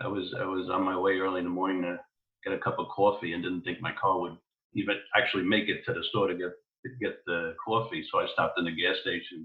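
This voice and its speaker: A man with a New York accent at a very fast pace. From New York, the Bronx. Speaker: podcast guest. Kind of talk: casual chat.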